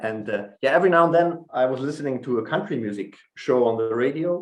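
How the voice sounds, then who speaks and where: Here a man talks with a German accent at a fairly quick pace. His intonation is lively. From northern Germany. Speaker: folk musician, banjo and guitar player. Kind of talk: casual interview chat. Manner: halting.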